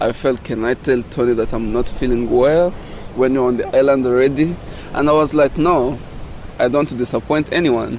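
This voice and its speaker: Noticeable background noise runs beneath this man's voice. He speaks at medium pitch and a moderate pace with fairly even intonation. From DRC Congo, Rutshuru area. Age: 20s. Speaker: refugee and open-water swimmer. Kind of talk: interview. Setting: outdoors on a windy beach. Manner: halting.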